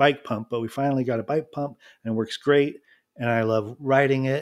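A man with a normal speaking voice, fairly even intonation and a moderate pace on a very clean recording with a silent background. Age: 40s. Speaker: podcast host and illustrator. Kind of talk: casual chat.

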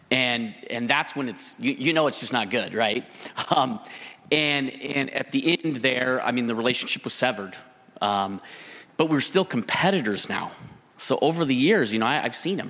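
Through noticeable background noise, a man with medium pitch talks at a moderate pace with lively intonation. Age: 50s. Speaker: business investor and advisor. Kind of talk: live testimony on stage.

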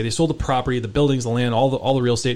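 With an American accent, a man speaks at a medium pitch and with fairly even intonation. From US West Coast, San Francisco Bay Area. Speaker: real estate journalist. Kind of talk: radio interview.

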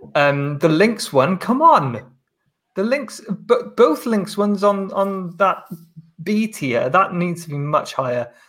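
A man speaks with a Welsh accent and very wide pitch swings. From Wales. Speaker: basketball journalist. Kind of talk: casual chat.

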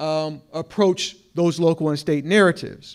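A high-pitched man with an American accent, at a fairly slow pace with ordinary pitch variation, on a very clean recording with a silent background. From Chicago. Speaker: professor. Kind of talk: lecture. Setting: stage with audience.

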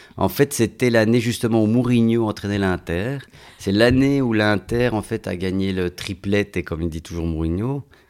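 His pitch sits fairly low for a man. He keeps a moderate pace. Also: ordinary pitch variation. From Belgium, Italian family. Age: 40s. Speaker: actor. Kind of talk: casual chat. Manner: halting.

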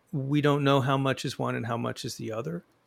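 A man's plain, everyday voice at a fairly high pitch and moderate pace, with ordinary pitch variation. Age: 60s. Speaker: author and journalist. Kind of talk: interview.

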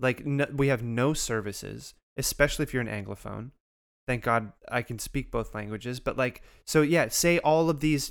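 On a very clean recording with a silent background, a man in an unremarkable speaking voice talks at a fairly quick pace and medium pitch with fairly even intonation. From Canada (Montreal area). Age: 30s. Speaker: podcast co-host. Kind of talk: casual chat.

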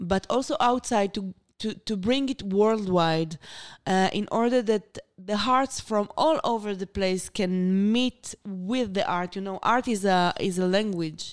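At a fairly slow pace, a woman of medium pitch speaks with ordinary pitch variation on a very clean recording with a silent background. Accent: Israeli. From Israel, Beersheba. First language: Hebrew. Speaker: artist and art therapist. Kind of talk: interview conversation. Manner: halting.

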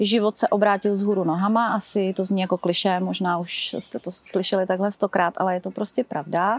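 Her medium-pitched voice moves at a fairly quick pace with monotone, flat intonation, hardly any pauses and a dry, close sound with no echo. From Czechia, České Budějovice. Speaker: drugstore branch manager, cancer survivor and runner. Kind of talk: casual interview testimony.

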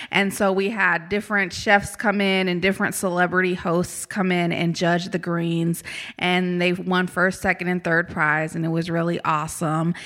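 In a very clean recording with a silent background, a woman with an American accent speaks in a fairly low, monotone, flat voice with hardly any pauses. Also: moderate pace. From Kansas (Topeka). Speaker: community engagement staff at a university. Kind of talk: casual interview.

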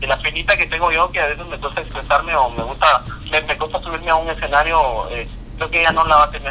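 A man speaks at a fairly quick pace. There is noticeable background noise. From Guatemala. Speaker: voice actor and social media personality. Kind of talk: casual interview.

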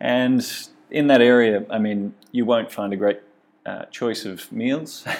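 Here a man speaks with an Australian accent at a medium pitch. His pace is fairly slow and his intonation fairly even. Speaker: cycling tour company owner. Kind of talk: interview. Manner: halting.

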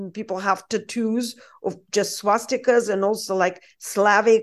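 Against a quiet background, a woman with a Russian accent speaks very slowly at a fairly high pitch in a monotone, flat intonation. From Russia (Saint Petersburg). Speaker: journalist. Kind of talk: interview.

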